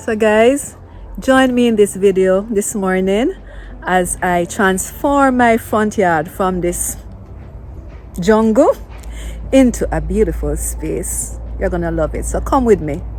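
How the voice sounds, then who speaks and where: With a Jamaican accent, a woman speaks very slowly, leaving long, frequent pauses over noticeable background noise. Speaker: gardening vlogger. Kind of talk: casual vlog tutorial. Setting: outdoors in garden. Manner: animated.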